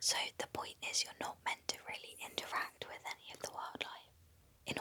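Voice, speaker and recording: Whispering in a British accent, a woman speaks at a moderate pace. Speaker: podcast co-host. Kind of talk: casual chat. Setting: wildlife hide at night.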